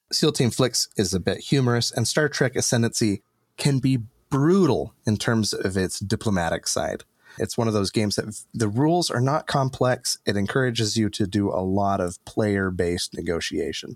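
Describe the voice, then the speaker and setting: A man with an unremarkable speaking voice talks at a medium pitch and moderate pace with lively intonation, in a very clean recording with a silent background and a dry, close sound with no echo. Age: 30s. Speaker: board game critic. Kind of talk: casual chat.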